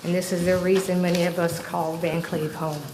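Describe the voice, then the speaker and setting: Over noticeable background noise and audible room echo, a woman speaks at medium pitch and a moderate pace in a monotone, flat delivery. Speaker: local resident, goat farmer. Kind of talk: public comment at county board meeting.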